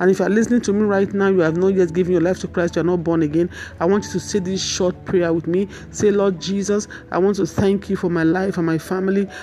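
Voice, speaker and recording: The speech comes at a very fast pace with monotone, flat intonation. Noticeable background noise runs underneath. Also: woman, medium pitch for a woman, very even loudness. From Nigeria. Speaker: minister and counselor. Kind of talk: sermon.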